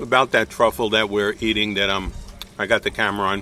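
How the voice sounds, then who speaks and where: A man speaks with a Brooklyn accent. His tone is bright and sharp. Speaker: realtor and video host. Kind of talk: casual chat. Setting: winery. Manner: animated.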